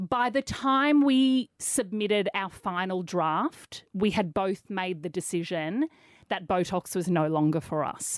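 At a fairly slow pace, a woman speaks at medium pitch with lively intonation, the sound dry and close with no echo on a very clean recording with a silent background. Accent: Australian. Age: 40s. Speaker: radio host and author. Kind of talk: casual interview chat.

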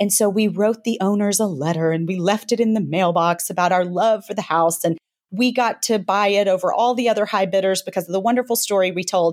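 Her Southern US accent sits at medium pitch with fairly even intonation. The woman talks at a fairly quick pace with hardly any pauses. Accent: light Southern US. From US South. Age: 40s. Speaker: author. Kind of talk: interview. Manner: fast talker.

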